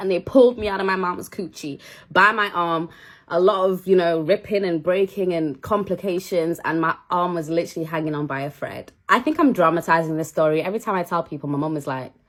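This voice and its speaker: A woman with a Manchester accent, fairly low-pitched and animated, at a fairly quick pace with ordinary pitch variation. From northern England, Manchester. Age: 20s. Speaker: cake maker and content creator. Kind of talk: casual get-ready-with-me chat.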